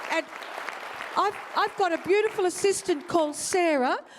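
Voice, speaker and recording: A woman at a fairly quick pace with lively intonation, with crowd noise in the background. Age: 60s. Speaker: event MC. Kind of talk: event MC patter. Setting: stage with audience. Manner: animated.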